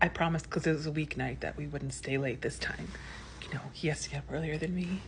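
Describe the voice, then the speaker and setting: Very fast whispering. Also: woman. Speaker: lifestyle vlogger. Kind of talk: casual vlog storytelling. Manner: chatty, filler-heavy.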